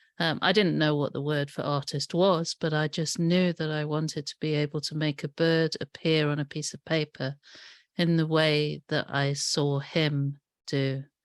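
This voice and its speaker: Very deep and low, a woman's voice holds a monotone, flat intonation at a moderate pace. The sound is dry and close with no echo, over a quiet background. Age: 60s. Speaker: artist and author. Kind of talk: talk to audience.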